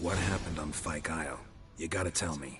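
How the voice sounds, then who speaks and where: A man's raspy, put-on character voice, very deep and low in pitch, with clear background noise. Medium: video game. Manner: terse, flat, clipped.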